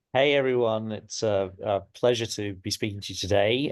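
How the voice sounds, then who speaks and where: Using fairly even intonation at a moderate pace, a man with an English accent speaks at a medium pitch. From England. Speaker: tech entrepreneur. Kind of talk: self-introduction.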